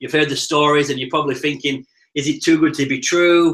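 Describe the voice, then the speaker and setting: Bright and sharp in tone, a man with a Yorkshire accent speaks at a fairly quick pace, with a fairly high pitch and fairly even intonation. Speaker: network marketing presenter. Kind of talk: live webinar sales presentation. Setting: live online video broadcast. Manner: fast.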